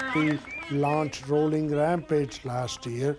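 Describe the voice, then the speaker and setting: Over noticeable background noise, a man with a fairly high voice speaks very slowly and with fairly even intonation. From India. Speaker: charity founder and businessman. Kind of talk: interview.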